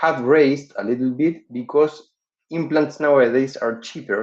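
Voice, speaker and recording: Fairly slow speech with a Spanish accent. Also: man. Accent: non-native English, Spanish-accented. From Uruguay. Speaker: dental surgeon and professor. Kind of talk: webinar lecture. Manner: halting, frequent fillers.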